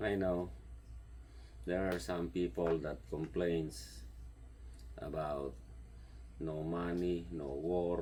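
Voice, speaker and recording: A man speaks very slowly with a strong Filipino accent, his very deep, low voice dark and mellow in tone against audible room echo. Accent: heavy Filipino. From Philippines. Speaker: home gardener and vlogger. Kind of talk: casual vlog monologue. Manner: halting, searching for words.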